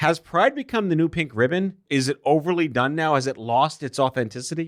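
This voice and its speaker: Over a silent background in a very clean, dry, close recording with no echo, a man with a normal speaking voice talks at a fairly quick pace, his pitch fairly high and his intonation lively. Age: 40s. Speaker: podcast host. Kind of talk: casual chat.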